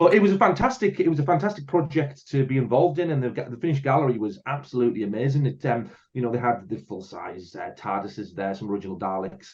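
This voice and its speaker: A man at medium pitch, somewhat breathy, with very wide pitch swings, big swings in loudness and a very fast pace. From northeast England, Hartlepool. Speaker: filmmaker. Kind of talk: casual chat.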